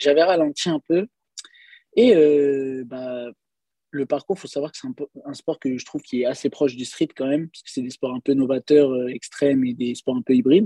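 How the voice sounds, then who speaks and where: A dark, mellow tone at a moderate pace, with long, frequent pauses, big swings in loudness, and a dry, close sound with no echo. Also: man, fairly high pitch for a man, ordinary pitch variation. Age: 20s. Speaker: street workout athlete. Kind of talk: casual chat. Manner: halting.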